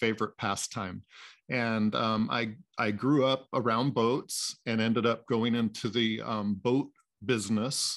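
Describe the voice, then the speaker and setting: With a General American accent, a man speaks at a fairly slow pace, medium pitch and fairly even intonation over a quiet background. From Pacific Northwest US. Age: 60s. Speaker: guest mindfulness practitioner. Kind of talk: interview conversation, storytelling.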